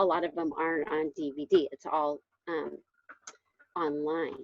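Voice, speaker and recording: A woman's voice at a moderate pace. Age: 60s. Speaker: fitness coach. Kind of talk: casual testimony on video call. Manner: enthusiastic.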